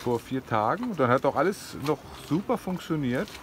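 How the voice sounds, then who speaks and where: At a moderate pace, a man speaks in a dry sound with no echo over light background noise. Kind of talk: casual vlog chat. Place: boat. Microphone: phone near.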